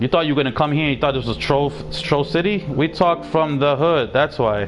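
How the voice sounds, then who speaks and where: A man's fairly high voice, animated and at a fairly quick pace, over noticeable background noise. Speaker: gaming streamer. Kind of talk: casual chat.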